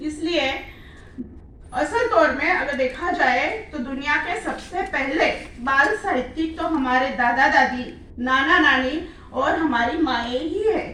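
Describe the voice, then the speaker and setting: In a raised, projected voice, a woman with a slight Marathi accent speaks at a high pitch with ordinary pitch variation. Audible room echo and noticeable background noise come through. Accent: slight Marathi accent in Hindi. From Maharashtra, Marathwada region. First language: Marathi (speaking Hindi). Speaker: children's literature writer. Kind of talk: conference speech. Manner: formal.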